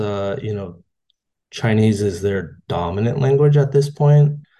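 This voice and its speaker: A somewhat breathy man with an American accent, a dark, mellow tone, lively intonation and a fairly slow pace. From California, US. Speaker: parent. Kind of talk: interview. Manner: halting.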